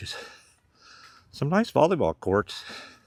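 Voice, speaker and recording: On a very clean recording with a silent background, a man talks at a very slow pace with lively intonation, the sound dry and close with no echo. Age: 70s. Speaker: vlogger. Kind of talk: casual walking vlog monologue. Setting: outdoors, walking on a trail. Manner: relaxed, conversational.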